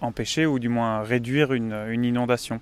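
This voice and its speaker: The voice belongs to a man. It has a medium pitch. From Belgium. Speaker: engineering student. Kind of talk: interview. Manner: halting, many repetitions.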